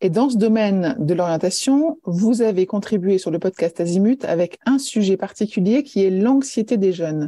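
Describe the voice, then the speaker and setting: With hardly any pauses, a woman speaks at a medium pitch with lively intonation, very even loudness, a dark, mellow tone, and a dry, close sound with no echo. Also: moderate pace. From France. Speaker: podcast host. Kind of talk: interview.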